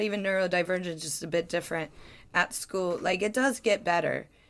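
This woman talks with an American accent at a moderate pace. Her voice sits at a fairly low pitch. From US Midwest (Ohio). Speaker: podcast co-host, comedian. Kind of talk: casual chat.

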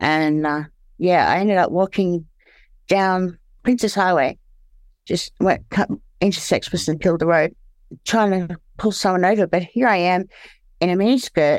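An Australian woman speaks at a moderate pace with ordinary pitch variation and long, frequent pauses, in a very clean recording with a silent background. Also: medium pitch for a woman. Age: 40s. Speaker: former sex worker and recovering heroin user. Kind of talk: personal testimony in interview. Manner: halting, struggles to find words.

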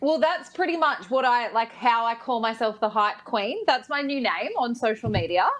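With an Australian accent and a high pitch, a woman talks at a moderate pace with hardly any pauses over noticeable background noise. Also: lively intonation. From New South Wales, Australia (Bathurst). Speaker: radio and TV personality. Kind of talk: casual chat.

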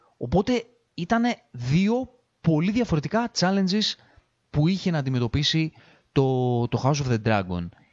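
The delivery is animated and fairly slow, with very wide pitch swings, long, frequent pauses, and very even loudness throughout. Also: man, fairly high pitch for a man. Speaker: podcast host. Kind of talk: solo monologue review.

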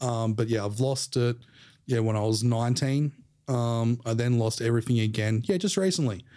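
A man with an Australian accent speaks at a moderate pace and medium pitch, his dark, mellow tone holding very even loudness with ordinary pitch variation on a very clean recording with a silent background. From Australia, Sydney. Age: 30s. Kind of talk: casual interview chat.

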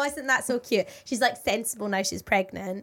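With a British accent, a woman speaks at a fairly high pitch using lively intonation. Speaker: radio and television presenter, podcast co-host. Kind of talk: casual chat.

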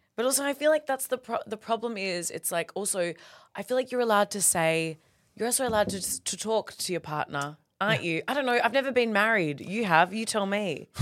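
In an Australian accent, a woman talks fairly quickly at a medium pitch with lively intonation. The recording is very clean, with a silent background. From Perth, Western Australia. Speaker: comedian. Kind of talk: casual chat. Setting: studio. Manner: animated.

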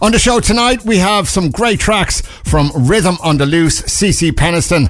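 Over noticeable background noise, a man with an Irish accent speaks with lively intonation. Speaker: radio DJ. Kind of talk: late-night dance radio DJ patter: back-announcing tracks, plugging events and the station. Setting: radio studio. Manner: upbeat, smooth, promo-style delivery with hesitant 'uh' fillers; warm and enthusiastic about the music.

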